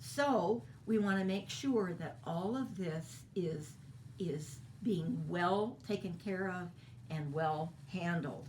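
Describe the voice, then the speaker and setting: Very wide pitch swings run through a woman's fairly low voice at a very slow pace. The recording has audible room echo and noticeable background noise. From Kentucky. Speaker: voice teacher. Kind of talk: lecture.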